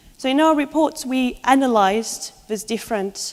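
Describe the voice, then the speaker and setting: At a moderate pace, a woman speaks with a French accent and lively intonation. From France. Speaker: law researcher. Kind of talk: conference presentation.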